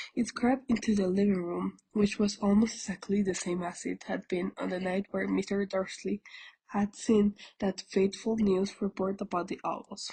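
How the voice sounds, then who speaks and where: Somewhat breathy female voice at a moderate pace, monotone and flat in intonation, with a dry, close sound and no echo. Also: medium pitch for a woman. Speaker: audiobook reader. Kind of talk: reading aloud. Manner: halting.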